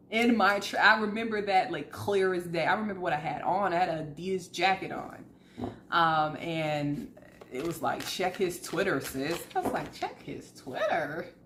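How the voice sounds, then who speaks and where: An animated tone in an American accent at a moderate pace with ordinary pitch variation, amid noticeable background noise and audible room echo. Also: woman, fairly low pitch for a woman. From US South. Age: 30s. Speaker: tarot reader. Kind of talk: casual chat.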